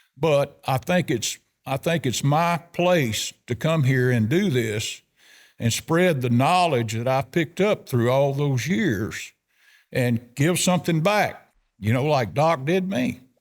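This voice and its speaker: Speaking very slowly in a Southern US accent, a man with a fairly high pitch uses lively intonation and very even loudness. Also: very clean recording, silent background. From US South (South Arkansas). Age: 70s. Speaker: elk hunter. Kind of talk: casual chat.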